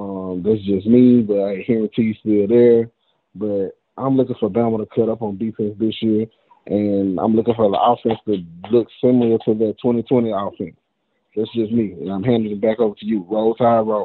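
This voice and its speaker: In a Southern US accent, a man speaks at a moderate pace with a fairly low pitch. His intonation is monotone and flat. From Mississippi. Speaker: caller, football fan. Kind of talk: casual chat.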